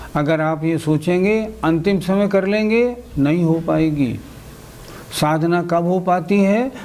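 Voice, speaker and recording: A man with a high pitch and very even loudness speaks amid audible room echo and noticeable background noise. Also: ordinary pitch variation. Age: 60s. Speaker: Jain religious teacher. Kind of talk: religious lecture.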